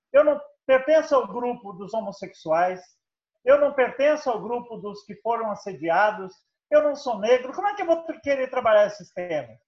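A man with an extremely high pitch speaks at a moderate pace, his voice making very wide pitch swings. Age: 70s. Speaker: professor. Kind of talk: lecture.

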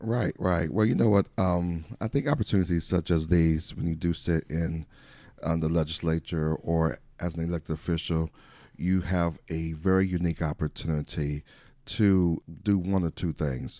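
A man with an American accent speaks at a very deep, low pitch in a dark, mellow tone. The sound is dry and close with no echo, on a very clean recording with a silent background. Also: ordinary pitch variation, moderate pace. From US Midwest, Saint Paul, Minnesota. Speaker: pastor and political candidate. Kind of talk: interview. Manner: hesitant with many filler words.

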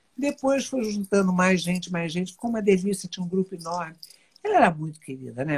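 A woman with a medium pitch speaks in a somewhat breathy voice with lively intonation. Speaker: TV personality. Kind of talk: casual chat.

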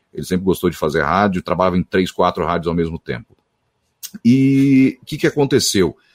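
A man speaks at a fairly quick pace with vocal fry and very wide pitch swings. The sound is dry and close, with no echo. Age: 30s. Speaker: radio announcer and voice-over artist. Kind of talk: interview.

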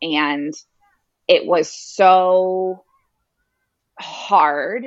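With a Canadian accent, a woman speaks using ordinary pitch variation. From Canada, Toronto. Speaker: yoga teacher. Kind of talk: interview.

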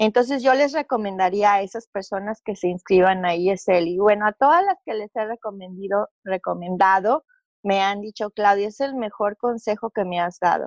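Her voice is a plain, everyday voice as this woman talks at medium pitch and a moderate pace, with ordinary pitch variation, hardly any pauses, and a dry, close sound with no echo. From Mexico City. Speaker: business owner. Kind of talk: interview testimony.

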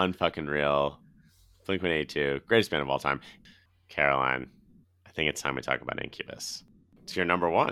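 A man's very deep, low voice in an American accent, bright and sharp in tone, at a fairly quick pace with ordinary pitch variation and long, frequent pauses. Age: 30s. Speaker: podcast host. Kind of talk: casual chat. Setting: remote recording.

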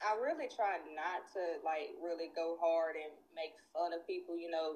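Speaking with a Southern US accent, a woman has a fairly low pitch. Her intonation stays monotone and flat. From Nashville, Tennessee. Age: 30s. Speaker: guest. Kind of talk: casual chat.

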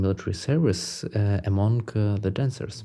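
A somewhat breathy man with a dark, mellow tone and a Ukrainian accent, ordinary pitch variation and a moderate pace. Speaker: musician. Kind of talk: recorded statement. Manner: halting.

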